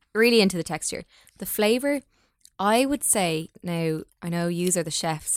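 Her fairly low-pitched voice carries an Irish accent and lively intonation, recorded dry and close with no echo. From Ireland. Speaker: food blogger. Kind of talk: casual chat.

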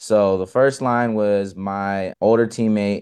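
A man with an American accent talks at a fairly low pitch. His pitch variation is ordinary, and the background is quiet. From California Central Valley. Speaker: college outreach worker and substitute teacher. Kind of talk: interview. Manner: casual, filler-heavy.

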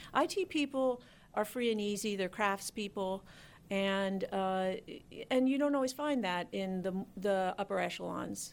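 A plain, everyday voice speaks at a fairly slow pace with ordinary pitch variation. The recording is very clean, with a silent background. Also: woman, medium pitch for a woman. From Philadelphia, US. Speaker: government chief information officer. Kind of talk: radio interview.

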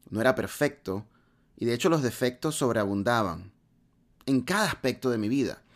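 A man's medium-pitched voice at a moderate pace, with lively intonation, on a very clean recording with a silent background. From Latin America. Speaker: podcast host. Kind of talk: motivational monologue.

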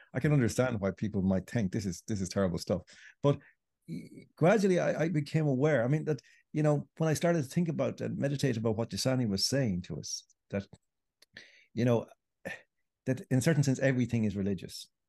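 A man with an Irish accent speaks at a very fast pace in a dark, mellow tone, his pitch swinging very widely, with long, frequent pauses against a quiet background. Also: medium pitch for a man. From Ireland. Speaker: writer. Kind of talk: interview.

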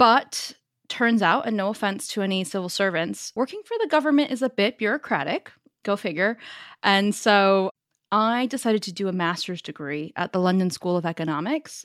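Speaking in a Northern California accent at a moderate pace, the voice has lively intonation and a dry, close sound with no echo. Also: woman, medium pitch for a woman. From US, Northern California (Silicon Valley). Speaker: startup founder and CEO. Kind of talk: interview. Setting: remote call.

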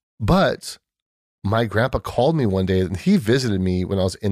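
A man with an American accent talks in an unremarkable speaking voice at a fairly low pitch. The recording is very clean and silent behind him, with a dry, close sound and no echo. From US West Coast, San Diego (South Bay). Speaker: podcast guest sharing faith story. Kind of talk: casual chat, personal testimony.

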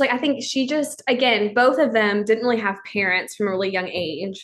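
With lively intonation, an unremarkable speaking voice moves along at a fairly quick pace. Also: woman. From Texas. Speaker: church worker. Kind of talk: casual chat.

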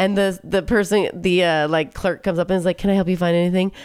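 A woman's fairly low voice, very fast and animated in tone. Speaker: podcast host. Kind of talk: casual chat. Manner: animated, excitable.

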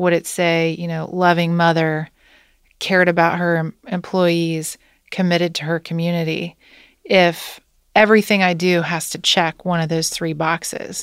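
A woman with a Midwestern American accent speaks at a fairly low pitch and moderate pace in a monotone, flat intonation, on a very clean recording with a silent background. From US Midwest, Wilmington, Ohio. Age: 40s. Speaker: company CEO. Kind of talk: interview.

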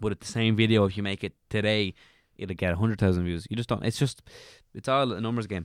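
A man talks very fast in an Irish accent, his fairly low pitch held to fairly even intonation. The sound is dry and close with no echo, on a very clean recording with a silent background. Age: 20s. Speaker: comedian and YouTuber. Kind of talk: casual chat.

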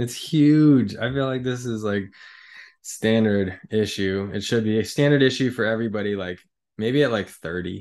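At a moderate pace, a man with an ordinary speaking voice talks at a medium pitch with ordinary pitch variation against a quiet background. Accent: American. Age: 30s. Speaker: muralist and live artist. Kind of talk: casual interview. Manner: frequent fillers, like and um.

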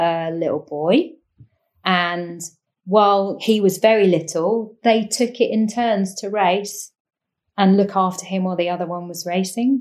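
The speaker talks at a fairly slow pace in a southern English accent, with ordinary pitch variation. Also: woman. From eastern England, Cambridgeshire. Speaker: professional sailor. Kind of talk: interview.

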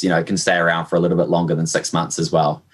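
A man in a New Zealand accent with fairly even intonation. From New Zealand, Hamilton. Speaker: e-commerce manager at a toy company. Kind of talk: podcast interview. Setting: remote call.

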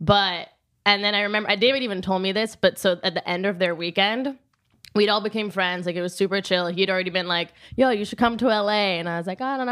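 Bright, sharp female voice with fairly even intonation on a very clean recording with a silent background. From Rome, Italy. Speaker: podcast guest. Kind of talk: casual chat.

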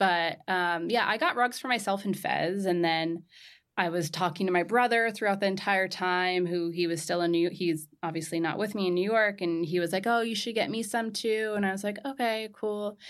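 A woman with an American accent speaks at a medium pitch and a moderate pace, with hardly any pauses. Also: ordinary pitch variation. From Southern California. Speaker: entrepreneur, textile company founder. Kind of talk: interview. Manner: casual, many fillers like 'like'.

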